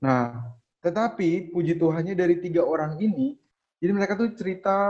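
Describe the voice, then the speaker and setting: A man speaks in a high voice with a dark, mellow tone. His pace is moderate and his pitch varies in an ordinary way. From East Nusa Tenggara, Indonesia. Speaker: young doctor and tutoring business founder. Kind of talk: casual interview.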